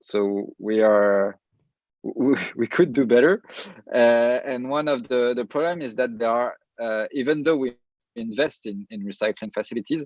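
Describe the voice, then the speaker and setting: A man speaks with a French accent at a moderate pace. The sound is dry and close, with no echo. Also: medium pitch for a man, ordinary pitch variation. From France. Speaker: entrepreneur. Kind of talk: panel discussion. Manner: halting.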